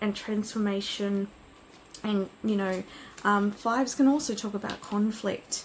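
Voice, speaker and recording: Somewhat breathy, a woman talks with fairly even intonation. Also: medium pitch for a woman, fairly slow pace. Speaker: tarot card reader. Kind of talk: pick-a-card reading. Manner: hesitant with fillers.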